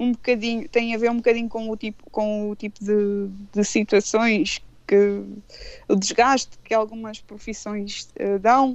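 A woman talks at a fairly slow pace with monotone, flat intonation. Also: fairly high pitch for a woman. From Portugal, Anadia (Aveiro district). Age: 40s. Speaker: radio presenter and blogger. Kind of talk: radio interview. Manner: halting, with many fillers.

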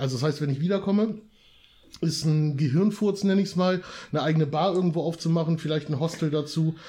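The speech runs at a very fast pace in a dark, mellow tone. Intonation stays fairly even, and loudness is very even. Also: man, fairly high pitch for a man. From northern Germany, Lower Saxony. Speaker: podcast guest. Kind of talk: casual chat.

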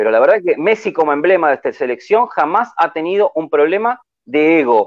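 Talking at a fairly quick pace in a Rioplatense accent, a man uses a high pitch with very wide swings. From Argentina. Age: 60s. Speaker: football fan commentator. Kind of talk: casual chat.

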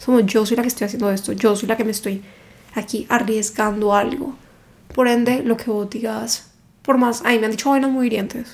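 A woman speaks at a fairly quick pace in a fairly high, somewhat breathy voice with fairly even intonation. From Cali, Colombia. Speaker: book content creator. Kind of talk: casual interview chat.

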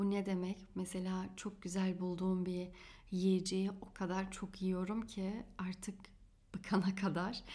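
Very slow, somewhat breathy speech from a woman at medium pitch, dark and mellow in tone, with monotone, flat intonation. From Germany, Turkish family from Afyon. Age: 20s. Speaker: podcast host and astrologer. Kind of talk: solo podcast monologue.

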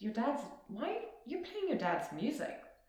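A woman speaks in a South African accent. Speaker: podcast guest sharing personal story. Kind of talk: personal testimony in interview. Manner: hesitant, many ums.

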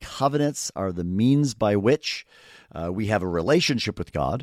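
A man with a southern Ontario accent at a moderate pace, on a very clean recording with a silent background and a dry, close sound with no echo. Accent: Canadian (southern Ontario). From Canada, near Toronto. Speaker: theology professor. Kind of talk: interview.

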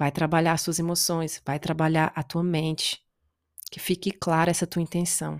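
A woman at a fairly low pitch and moderate pace, monotone and flat, in a dry, close, echo-free sound with a very clean recording and silent background. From Brazil. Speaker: podcast host, self-development coach. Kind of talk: solo motivational talk.

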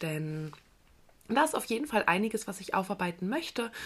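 Female speech on a very clean recording, the background silent. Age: 20s. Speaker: podcast host and coach. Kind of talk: personal monologue podcast. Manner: animated.

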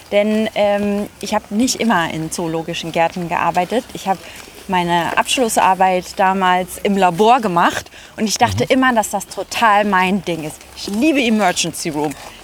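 A medium-pitched woman at a moderate pace, with ordinary pitch variation and noticeable background noise. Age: 30s. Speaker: zoo press and communications staff. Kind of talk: casual chat. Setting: outdoors, walking through a zoo.

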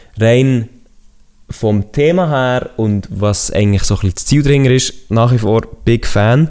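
A man's medium-pitched voice, dark and mellow in tone, at a very slow pace with ordinary pitch variation. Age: 20s. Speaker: podcaster. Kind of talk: casual chat.

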